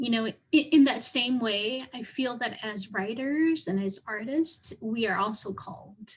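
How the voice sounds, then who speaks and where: Hardly pausing, a woman with a Southeast Asian accent speaks at a fairly high pitch. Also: ordinary pitch variation, fairly slow pace. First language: Hmong. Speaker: writer. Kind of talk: panel Q&A answer. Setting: virtual event video call. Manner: halting, repeats words.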